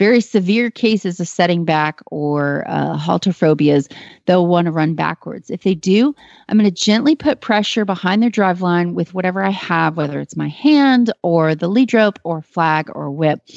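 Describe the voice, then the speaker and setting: In a normal speaking voice, a woman with an American accent talks at a moderate pace and a fairly low pitch, her intonation lively. The sound is dry and close with no echo, over a quiet background. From Texas. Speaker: horse trainer. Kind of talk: call-in advice show.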